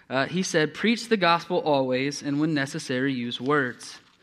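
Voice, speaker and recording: This is an unremarkable speaking voice with an American accent and ordinary pitch variation. The pace is fairly quick. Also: man. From East Texas. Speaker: youth pastor. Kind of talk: sermon. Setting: church.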